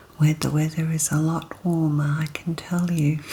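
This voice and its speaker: Soft-spoken and relaxed in tone, a woman talks with an Australian accent. Noticeable background noise is present. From Australia, Queensland. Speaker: ASMR content creator. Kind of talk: ASMR soft-spoken talk to camera. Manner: soft-spoken, relaxed.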